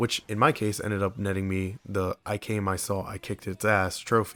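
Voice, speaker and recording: A man speaks at a fairly low pitch over music in the background. The sound is dry and close, with no echo. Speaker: video game reviewer. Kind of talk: game review narration. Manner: casual.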